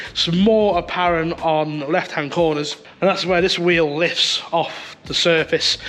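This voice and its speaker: A man with a British accent speaks at a high pitch and a fairly slow pace, with monotone, flat intonation and noticeable background noise. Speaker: car fabricator and racer. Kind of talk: casual talk to camera.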